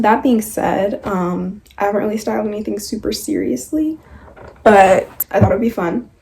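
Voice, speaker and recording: Noticeable background noise sits under this recording. A woman of medium pitch speaks at a moderate pace with lively intonation. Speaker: lifestyle vlogger. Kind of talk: try-on haul vlog. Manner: casual, filler-heavy.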